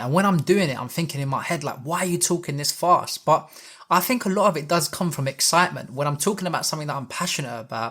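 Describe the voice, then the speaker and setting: Here a man speaks with a British accent. His pitch is fairly high and his intonation lively. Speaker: personal development youtuber. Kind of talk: talking-head advice video. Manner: fast; slightly mumbled when rushing.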